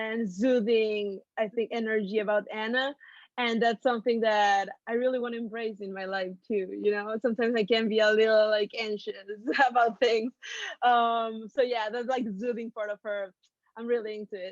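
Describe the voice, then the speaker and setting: Speaking in a Mexican accent, a woman with a fairly high pitch keeps a monotone, flat intonation at a moderate pace, with a dry, close sound, no echo and a quiet background. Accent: Mexican Spanish accent, noticeable. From Mexico City, Mexico. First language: Spanish. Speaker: actress. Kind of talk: interview.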